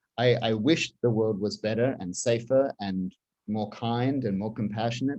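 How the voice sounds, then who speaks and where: A moderate pace in an Australian accent. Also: man, medium pitch for a man. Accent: non-Baltimore accent (Australian). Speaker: communications executive. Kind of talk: interview conversation. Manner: halting, many repetitions.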